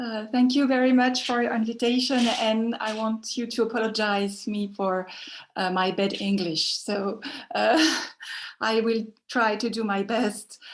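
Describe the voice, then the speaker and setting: A woman's fairly high voice with a French accent, fairly slow in pace and fairly even in intonation. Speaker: sociologist. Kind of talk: academic talk. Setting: video call.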